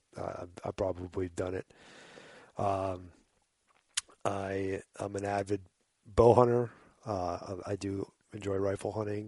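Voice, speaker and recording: Pausing long and often, a man talks fairly slowly in a fairly low, dark, mellow tone with monotone, flat intonation. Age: 40s. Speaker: hunting guide and conservation advocate. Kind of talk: casual chat.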